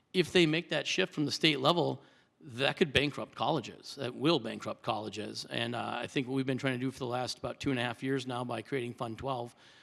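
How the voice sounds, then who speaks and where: A man talks at a fairly quick pace and medium pitch, with vocal fry and ordinary pitch variation. The recording is very clean, with a silent background. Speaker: trustee candidate. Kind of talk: public forum Q&A. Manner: fast; halting, many fillers.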